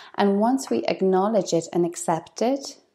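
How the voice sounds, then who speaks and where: With a non-native accent, a woman talks at a moderate pace in a medium-pitched voice with a dark, mellow tone. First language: not English. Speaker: podcast host, life coach. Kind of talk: motivational monologue.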